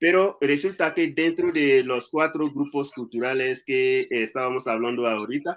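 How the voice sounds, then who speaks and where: Speaking fairly slowly with an Ivorian accent, a man uses a fairly high pitch and ordinary pitch variation. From Ivory Coast. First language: Anyi (speaking Spanish). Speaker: speaker on his home country's culture. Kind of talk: public talk interview. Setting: literature festival talk. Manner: halting, many fillers.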